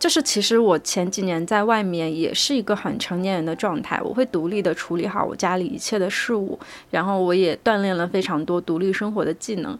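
A woman with an unremarkable speaking voice talks at a fairly quick pace in a medium pitch, with ordinary pitch variation and hardly any pauses. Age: 20s. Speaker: podcast host. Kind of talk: solo monologue. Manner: relaxed, conversational.

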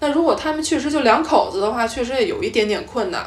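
A woman with an animated tone, very wide pitch swings and a fairly quick pace, over noticeable background noise. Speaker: podcast host, guest here. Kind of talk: casual chat. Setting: travel, recorded on the trip.

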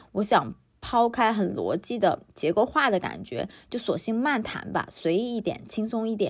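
Her fairly high voice shows vocal fry, ordinary pitch variation and a moderate pace as this woman speaks. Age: 30s. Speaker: podcast host. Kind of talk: solo podcast monologue. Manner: casual, conversational.

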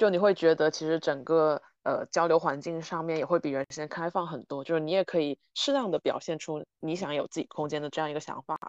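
The speech moves at a fairly quick pace with hardly any pauses. The background is quiet. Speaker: podcast host. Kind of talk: casual chat.

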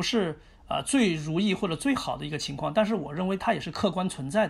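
A man's high-pitched voice at a fairly quick pace, with very wide pitch swings. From Chongqing, China. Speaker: chess grandmaster. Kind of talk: interview. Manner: hesitant with fillers.

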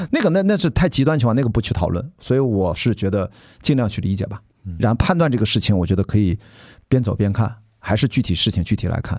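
Talking at a very fast pace, this man has a medium-pitched voice and lively intonation. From Shandong, China. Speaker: podcast host. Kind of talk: casual chat.

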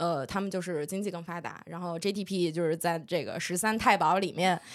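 In an unremarkable speaking voice, a woman talks at a moderate pace with a medium pitch and ordinary pitch variation. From northern Jiangsu, Lianyungang. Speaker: podcast co-host. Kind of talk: casual chat.

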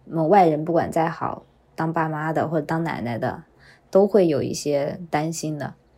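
This woman's voice is very deep and low, with a dark, mellow tone. She talks at a moderate pace with fairly even intonation. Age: 30s. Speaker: working mother. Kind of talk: recorded personal testimony.

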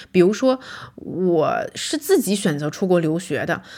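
This woman's voice sits at a medium pitch. It swings very widely in pitch. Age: 30s. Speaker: podcast host and vlogger. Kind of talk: solo reflective monologue. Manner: casual, conversational with fillers.

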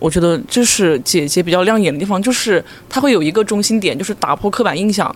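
Over noticeable background noise, a man speaks at a very fast pace in a high pitch with ordinary pitch variation. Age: 20s. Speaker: variety show fan. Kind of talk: casual chat.

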